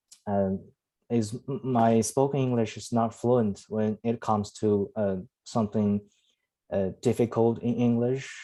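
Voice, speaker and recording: Dark, mellow male voice in flat, monotone intonation over a quiet background. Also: medium pitch for a man, fairly slow pace. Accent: Chinese. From China (Henan). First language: Chinese. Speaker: club member, student. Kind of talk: prepared speech. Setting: video call. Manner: halting, many fillers.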